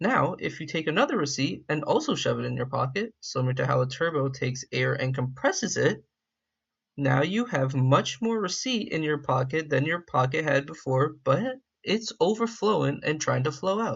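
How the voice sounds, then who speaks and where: A man with a fairly high pitch speaks with vocal fry and lively intonation. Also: moderate pace. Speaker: gaming video creator. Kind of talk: casual educational explainer.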